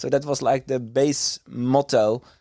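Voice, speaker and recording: In a dry, close sound with no echo, a man with a Dutch accent speaks with fairly even intonation. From Netherlands, countryside. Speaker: carp angler. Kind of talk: casual interview chat.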